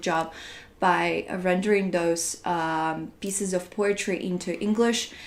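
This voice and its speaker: Speaks with a Russian accent. The intonation stays fairly even. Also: woman. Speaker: translator. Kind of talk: interview.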